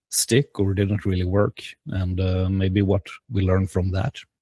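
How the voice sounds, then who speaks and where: Recorded very cleanly with a silent background and a dry, close sound with no echo, a man speaks fairly slowly in a somewhat breathy, dark, mellow voice of fairly low pitch. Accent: Swedish. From Sweden, Gothenburg. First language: Swedish. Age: 40s. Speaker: podcaster and game designer. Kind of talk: presentation. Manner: halting, many fillers.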